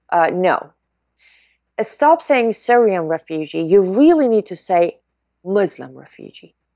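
A woman speaks at a fairly slow pace with a Persian accent, her pitch swinging very widely. The sound is dry with no echo, over a quiet background. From Iran. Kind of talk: interview. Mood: earnest, insistent. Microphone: webcam.

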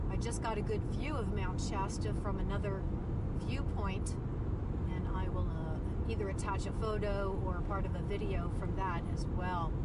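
Amid loud background noise, a woman speaks at a moderate pace in a dry sound with no echo. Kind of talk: casual vlog chat. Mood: relaxed, admiring. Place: car. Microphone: camera far.

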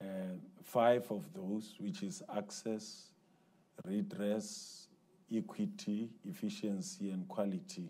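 Speaking at a very slow pace with long, frequent pauses, a man has a dark, mellow tone that is somewhat breathy. His pitch swings very widely over a quiet background. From South Africa. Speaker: education department director. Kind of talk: panel discussion. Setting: conference stage with audience. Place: hall. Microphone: lapel.

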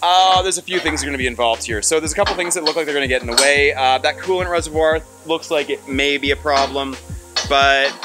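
Clear music plays in the background as a man talks at a very fast pace. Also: ordinary pitch variation. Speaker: car builder vlogger. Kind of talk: casual vlog chat. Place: workshop. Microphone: phone near.

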